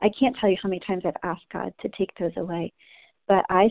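An American accent marks this woman's ordinary speaking voice, medium in pitch, at a fairly quick pace with fairly even intonation. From New Jersey. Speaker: women's ministry leader. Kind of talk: devotional teaching. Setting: conference call. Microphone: line initially inaudible, feedback.

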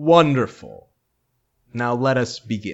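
A booming put-on character voice from a man, medium in pitch, at a fairly slow pace

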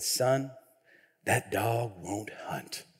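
A man puts on a raspy character voice at a medium pitch. His pitch variation is ordinary. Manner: dismissive, blunt.

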